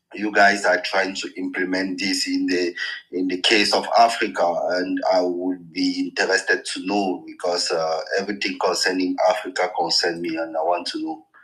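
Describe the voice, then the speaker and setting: With noticeable background noise behind him, a man talks at a moderate pace with hardly any pauses. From France. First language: French. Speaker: caller working in insurance and banking. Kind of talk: call-in discussion. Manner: halting, hesitant.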